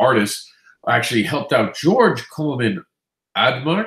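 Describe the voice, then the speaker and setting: A man with a fairly high pitch and vocal fry swings his pitch very widely. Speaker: comics news show host. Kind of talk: news roundup. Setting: live stream.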